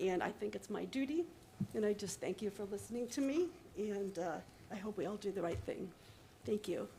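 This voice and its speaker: Speaking at a fairly quick pace with long, frequent pauses, a woman has a dark, mellow tone, lively intonation and vocal fry. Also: medium pitch for a woman. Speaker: public commenter at county meeting. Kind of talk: public comment. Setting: public meeting room.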